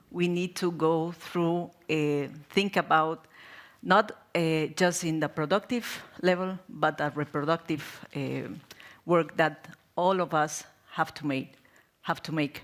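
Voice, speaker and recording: Delivered in a Spanish accent, the speech goes at a very slow pace with ordinary pitch variation and long, frequent pauses. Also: woman, fairly low pitch for a woman. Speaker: NGO programme coordinator and activist. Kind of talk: panel discussion. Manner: halting.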